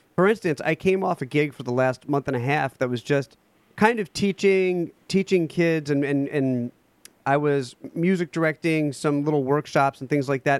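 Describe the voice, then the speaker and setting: A man with an ordinary speaking voice, fairly high in pitch, with ordinary pitch variation, at a moderate pace, in a dry, close sound with no echo. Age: 30s. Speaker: music director and pianist. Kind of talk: casual interview. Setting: remote call.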